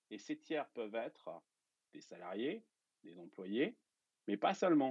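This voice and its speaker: A man's voice swings very widely in pitch as he talks at a moderate speed. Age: 40s. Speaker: entrepreneur and investor. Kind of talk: casual interview explanation. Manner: hesitant with many fillers.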